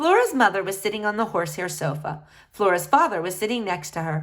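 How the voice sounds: A natural reading voice carries the text with lively intonation.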